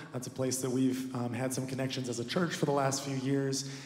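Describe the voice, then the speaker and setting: Noticeable background noise runs under this recording. A man with a medium pitch talks at a very fast pace. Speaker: missionary. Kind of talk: church announcement. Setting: church.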